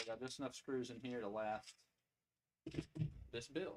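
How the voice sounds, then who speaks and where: With an American accent, a man talks with ordinary pitch variation. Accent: Southern US redneck. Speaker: tech YouTuber building a PC. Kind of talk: casual livestream tutorial. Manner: casual, thinking aloud while working.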